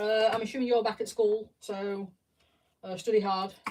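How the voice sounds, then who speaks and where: The voice carries a Yorkshire accent. It moves at a fairly quick pace. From South Yorkshire, England. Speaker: live streamer building Lego sets. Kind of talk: casual live-stream chat. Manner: chatty, self-interrupting.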